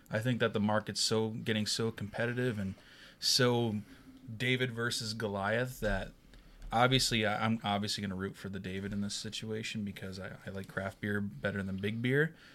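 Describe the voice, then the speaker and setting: An unremarkable speaking voice from a man, fairly low in pitch, with fairly even intonation, a moderate pace and a very clean recording with a silent background. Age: young. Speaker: podcast co-host. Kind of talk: casual chat.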